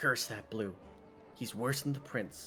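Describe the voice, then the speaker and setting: A man puts on a gruff, growling character voice at a medium pitch, speaking fairly slowly over clear background noise. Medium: game stream.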